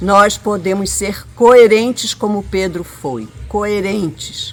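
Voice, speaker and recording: With ordinary pitch variation, a woman talks very slowly amid noticeable background noise. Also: medium pitch for a woman. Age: 70s. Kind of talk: interview testimony.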